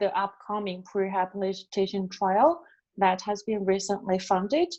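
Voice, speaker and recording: At a fairly slow pace, a woman talks with a non-native accent. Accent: non-native speaker of English. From China. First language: Chinese. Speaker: epidemiologist. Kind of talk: lecture. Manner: halting, many fillers.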